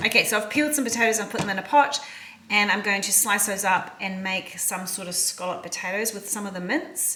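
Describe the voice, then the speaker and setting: Over noticeable background noise and audible room echo, a woman with an Australian accent talks at a fairly quick pace in a medium pitch, with ordinary pitch variation and big swings in loudness. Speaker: cooking vlogger. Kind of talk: casual cooking vlog. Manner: fast.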